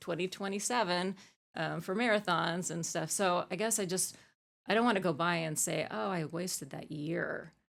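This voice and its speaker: A woman with an American accent speaks in a plain, everyday voice at a fairly low pitch. Her intonation is fairly even and her pace moderate. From Arizona, US. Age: 50s. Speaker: ultramarathon coach and athlete. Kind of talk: podcast interview. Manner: casual, many fillers.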